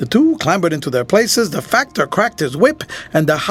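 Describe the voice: Some plain reading aloud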